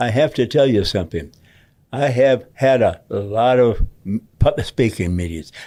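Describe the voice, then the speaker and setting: At a moderate pace, a man with a dark, mellow tone speaks at a medium pitch with lively intonation. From Michigan, Detroit. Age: 80s+. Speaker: war veteran. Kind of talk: interview. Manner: halting.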